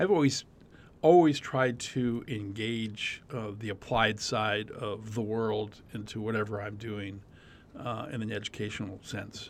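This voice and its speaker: An ordinary speaking voice with an American accent moves at a fairly slow pace with ordinary pitch variation. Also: man. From Arizona (Scottsdale). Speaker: university lecturer in communications and digital media. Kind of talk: casual interview.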